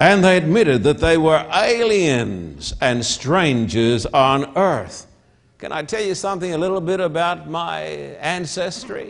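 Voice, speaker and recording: Speaking fairly slowly with an Australian accent, a man uses lively intonation in a high voice. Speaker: pastor. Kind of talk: sermon. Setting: church with audience, televised. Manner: emphatic, repetitive.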